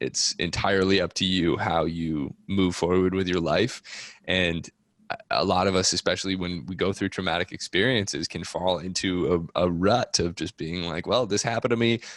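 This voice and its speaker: In a dry, close recording with no echo, a man with a very deep, low voice talks at a moderate pace with ordinary pitch variation. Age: 20s. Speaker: podcast host interviewing guests about trauma. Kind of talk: casual interview conversation.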